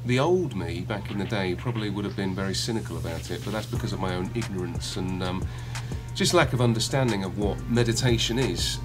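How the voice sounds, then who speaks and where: A man with a fairly low voice talks at a fairly quick pace over clear background music. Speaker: actor interviewee. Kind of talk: interview answer. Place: home room. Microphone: phone near.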